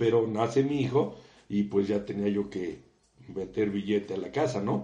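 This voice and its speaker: The tone is dark and mellow, and the pace is moderate. Intonation is lively. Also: man. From Mexico. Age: 60s. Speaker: civil engineer and university professor. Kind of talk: interview.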